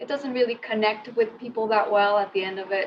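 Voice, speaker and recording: A woman with a Spanish accent and a fairly high pitch talks at a moderate pace with ordinary pitch variation. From Mexico. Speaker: conversational designer. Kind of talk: lightning talk.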